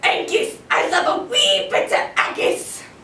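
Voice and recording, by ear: A put-on character voice with a Scottish accent, extremely high in pitch and fairly slow, with slight echo and light background noise.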